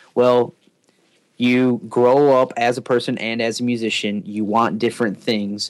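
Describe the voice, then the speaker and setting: A man's ordinary speaking voice at medium pitch, with fairly even intonation and a fairly slow pace. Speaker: drummer. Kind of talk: casual podcast interview.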